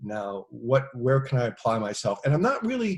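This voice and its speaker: A somewhat breathy male voice at a medium pitch. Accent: American. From United States. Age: 60s. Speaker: actor and stunt performer. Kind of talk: casual interview chat. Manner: halting with many fillers.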